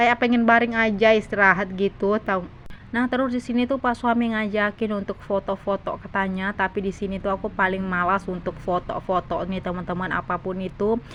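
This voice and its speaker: Someone talks at a fairly quick pace with hardly any pauses, over noticeable background noise. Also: woman, medium pitch for a woman. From South Sulawesi, Indonesia. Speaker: vlogger, housewife. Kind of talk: vlog voice-over. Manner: chatty, talkative; halting.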